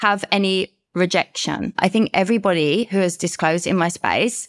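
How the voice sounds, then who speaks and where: A woman in a London accent at a medium pitch and moderate pace, with an animated, enthusiastic tone, ordinary pitch variation, and a dry, close sound with no echo on a very clean recording with a silent background. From London, UK. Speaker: guest, herpes advocate and coach. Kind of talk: casual interview chat.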